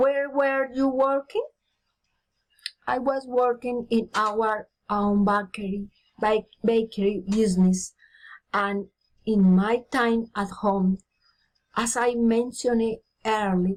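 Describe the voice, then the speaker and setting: A woman's fairly high voice with fairly even intonation, a very slow pace and long, frequent pauses. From Colombia (Bogotá). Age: 50s. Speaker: teacher. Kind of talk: reading aloud. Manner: halting.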